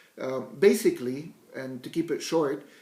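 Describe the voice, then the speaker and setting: A man's fairly high voice in an Arabic accent, over noticeable background noise. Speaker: blogger. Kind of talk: vlog monologue. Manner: hesitant, with fillers.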